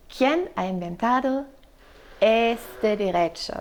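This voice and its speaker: Lively intonation in a woman's dark, mellow tone. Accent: German. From Germany. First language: German (speaking Spanish). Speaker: law professor. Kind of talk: podcast interview. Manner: halting, many fillers.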